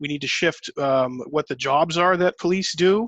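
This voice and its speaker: Recorded dry and close with no echo, a man with a plain, everyday voice talks at a moderate pace with ordinary pitch variation. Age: 30s. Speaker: podcast host. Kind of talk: interview. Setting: video call.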